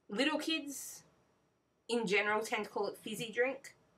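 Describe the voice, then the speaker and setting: At a moderate pace, a woman with an Australian accent speaks with fairly even intonation. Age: 20s. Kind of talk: casual talk to camera. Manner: hesitant, frequent fillers.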